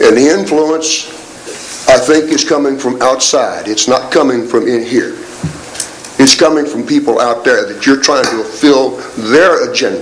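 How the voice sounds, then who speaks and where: A man speaks at a moderate pace with long, frequent pauses, amid audible room echo and noticeable background noise. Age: 70s. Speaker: military retiree speaking at council meeting. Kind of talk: public comment speech. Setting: city council meeting. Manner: animated.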